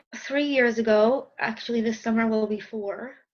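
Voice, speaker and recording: In an American accent, a woman speaks with a high pitch and a monotone, flat intonation. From New York, Westchester. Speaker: life and dating coach. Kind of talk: interview. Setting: video call.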